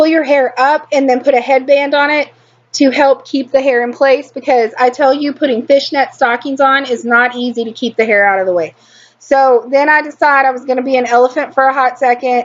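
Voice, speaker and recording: With a strong Texan accent, a woman speaks at a high pitch and a fairly quick pace. Her intonation is fairly even. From Texas. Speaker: beauty vlogger. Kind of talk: tutorial. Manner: slurred.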